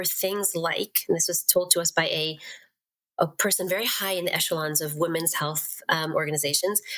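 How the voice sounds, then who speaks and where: A woman with a Western Pennsylvania accent talks at a moderate pace. Her pitch is fairly low, with ordinary variation. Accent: American, Western Pennsylvania. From Pittsburgh, Pennsylvania. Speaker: certified nurse-midwife. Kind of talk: podcast interview answer.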